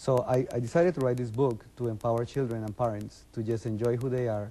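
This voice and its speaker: Speaking at a fairly quick pace, a man in a Colombian accent keeps his intonation fairly even. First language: Spanish. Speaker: business consultant and children's author. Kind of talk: TV interview.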